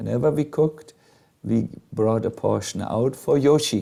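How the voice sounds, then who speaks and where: A man speaks very slowly at a medium pitch with a slight German accent. His tone is dark and mellow, with ordinary pitch variation. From Germany. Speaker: monk and spiritual teacher. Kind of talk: storytelling talk to a live group. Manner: hesitant, many fillers.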